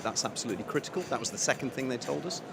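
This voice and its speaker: A man is speaking. Noticeable background noise runs beneath his voice. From United Kingdom. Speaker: telecom business executive. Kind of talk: conference interview. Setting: conference venue.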